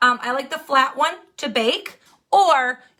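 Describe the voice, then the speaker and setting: With an American accent, a woman speaks in a raised, projected voice that is high-pitched, bright and sharp in tone. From Wisconsin. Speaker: makeup tutorial livestreamer. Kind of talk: live makeup tutorial. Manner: fast.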